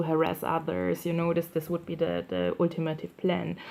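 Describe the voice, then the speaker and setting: A woman with a fairly low pitch speaks with a non-native accent. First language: not English. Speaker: YouTuber sharing targeted individual experiences. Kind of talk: personal monologue video. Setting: indoors at night by candlelight. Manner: halting, many fillers and repetitions.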